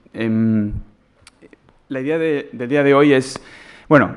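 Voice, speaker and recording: A man speaks with a Mexican accent. His intonation stays fairly even. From Mexico. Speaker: education consultant, conference speaker. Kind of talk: lecture. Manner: halting, many fillers.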